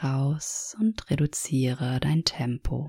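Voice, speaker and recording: The tone is calm and soothing, on a very clean recording with a silent background. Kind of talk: guided meditation. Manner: slow, calm and soothing, with long pauses; gentle, even and instructive.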